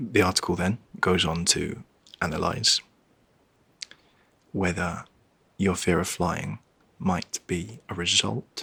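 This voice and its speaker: Soft-spoken and calm, a man speaks at a very slow pace with long, frequent pauses, a very deep, low pitch, ordinary pitch variation and a bright, sharp tone. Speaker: travel show host. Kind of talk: ASMR reading. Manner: calm, soft-spoken.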